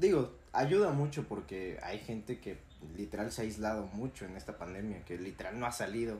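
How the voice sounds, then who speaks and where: A man speaks at a moderate pace with a fairly low pitch and lively intonation. His tone is dark and mellow and somewhat breathy. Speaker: university student podcast co-host. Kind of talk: casual chat.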